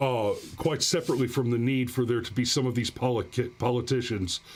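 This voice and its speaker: A man speaks at a moderate pace at medium pitch, in an ordinary speaking voice. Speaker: livestream host commenting on gun news. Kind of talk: live stream commentary reading chat and articles. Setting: live stream with chat. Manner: sarcastic, mocking.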